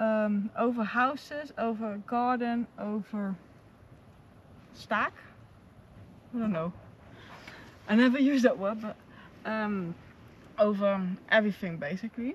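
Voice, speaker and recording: At a fairly slow pace, a woman talks with ordinary pitch variation and long, frequent pauses. The sound is dry with no echo, with light background noise. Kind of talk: casual vlog chat. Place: open country.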